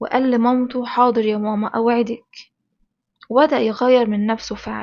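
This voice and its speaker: A woman with an Egyptian accent, high pitch, monotone, flat intonation and a fairly slow pace. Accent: Egyptian colloquial Arabic. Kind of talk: children's bedtime story narration.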